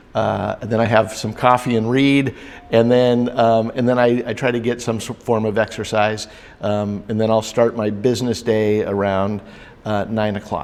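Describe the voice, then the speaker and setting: Over noticeable background noise, a man talks at a moderate pace and medium pitch in a monotone, flat intonation. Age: 60s. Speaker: business coach. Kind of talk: interview. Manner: halting, many fillers.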